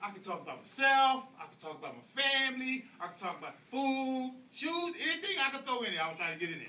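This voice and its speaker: A man with an American accent, extremely high-pitched, raised and projected, animated, with a bright, sharp tone, very wide pitch swings, a fairly quick pace and audible room echo. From US South, Atlanta, Georgia. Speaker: public speaker at speaking club. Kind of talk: speech to audience.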